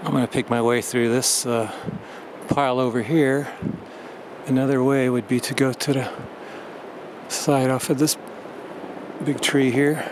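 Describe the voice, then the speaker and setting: A man speaks with monotone, flat intonation and long, frequent pauses. Noticeable background noise runs underneath. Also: medium pitch for a man, moderate pace. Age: 60s. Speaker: hiking vlogger. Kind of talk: casual vlog narration. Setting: outdoors on a hiking trail. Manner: hesitant, many fillers.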